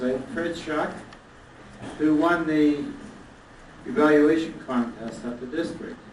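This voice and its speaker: Noticeable background noise and audible room echo surround a man's fairly high voice. He talks at a fairly slow pace with ordinary pitch variation. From Canada, Toronto. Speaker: toastmasters leader. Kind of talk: anniversary speech.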